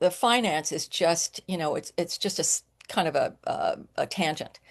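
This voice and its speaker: The speaker goes at a fairly slow pace with ordinary pitch variation, in a dry, close sound with no echo over a quiet background. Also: woman, hardly any pauses. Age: 60s. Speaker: psychic medium, former commodities trader. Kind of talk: casual interview chat. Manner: halting, many fillers and restarts.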